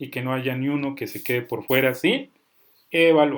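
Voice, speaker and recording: A man talks at a fairly slow pace. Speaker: software instructor. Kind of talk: online class. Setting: video call. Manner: stern, forceful.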